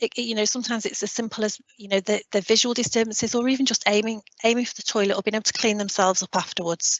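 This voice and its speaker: At a very fast pace, a woman speaks with monotone, flat intonation. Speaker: continence care specialist. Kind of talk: webinar presentation. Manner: conversational.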